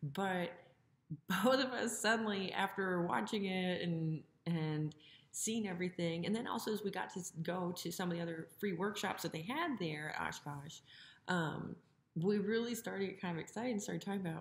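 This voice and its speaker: Somewhat breathy speech comes at a moderate pace with ordinary pitch variation and audible room echo. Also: woman. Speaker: plane-building vlogger. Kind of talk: casual vlog chat. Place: home room. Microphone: phone near.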